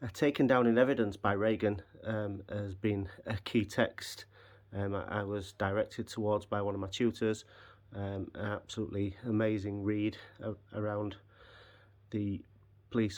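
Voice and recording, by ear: A man talks at a fairly slow pace in a fairly low pitch, with little pitch movement.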